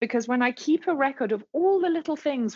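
A woman with a British accent and very wide pitch swings. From England. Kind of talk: interview, personal testimony.

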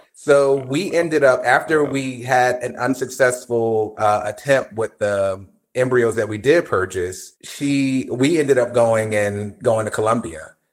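A man with an American accent speaks in a normal speaking voice at a medium pitch, using ordinary pitch variation. He goes at a fairly slow pace with hardly any pauses, on a very clean recording with a silent background. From New Jersey. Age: 50s. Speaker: podcast guest. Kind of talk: casual chat.

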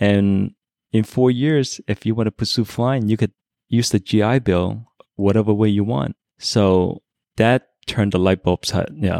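In a Chinese accent, a man with a dark, mellow tone speaks at a fairly slow pace with ordinary pitch variation and very even loudness, the sound dry and close with no echo. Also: fairly low pitch for a man, very clean recording, silent background. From China, immigrated to US at ten. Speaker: airline pilot, Navy veteran. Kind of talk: casual chat.

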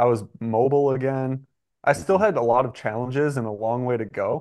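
Speaking in a plain, everyday voice, a man with an American accent keeps a moderate pace at medium pitch with ordinary pitch variation. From US Midwest (southeastern Michigan). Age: 20s. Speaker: pro mountain biker. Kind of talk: casual chat.

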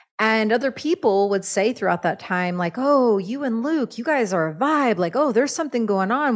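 Lively intonation from a woman in an ordinary speaking voice, fairly high-pitched and at a moderate pace, on a very clean recording with a silent background. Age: 40s. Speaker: shaman and author. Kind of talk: casual interview.

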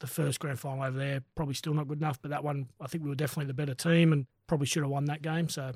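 Fast and with hardly any pauses, a man with an Australian accent speaks in a monotone, flat way at fairly high pitch, somewhat breathy, on a very clean recording with a silent background. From Australia, rural NSW (Kurri Kurri). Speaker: rugby league coach and former player. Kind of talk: casual interview chat. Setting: studio.

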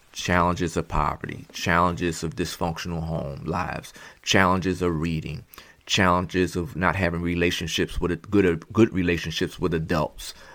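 A man with a Philadelphia accent speaks at a moderate pace in a very deep, low voice, captured on a very clean recording with a silent background. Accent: Philadelphia American English. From Philadelphia, Pennsylvania. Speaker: educator and former prison school principal. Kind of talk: interview.

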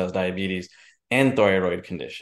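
A man with very deep, low pitch and an American accent, at a very fast pace over a quiet background. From New Jersey / New York. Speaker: entrepreneur and filmmaker. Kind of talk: interview.

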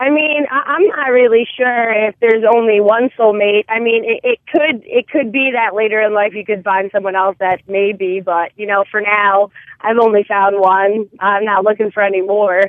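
Here is a woman with a plain, everyday voice. Her pitch is fairly high, with ordinary variation. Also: moderate pace. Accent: American. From New Jersey. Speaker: caller. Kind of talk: call-in conversation.

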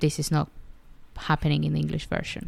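A woman with a Spanish accent talks at a moderate pace. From Argentina. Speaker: podcaster and writer. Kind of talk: solo podcast monologue.

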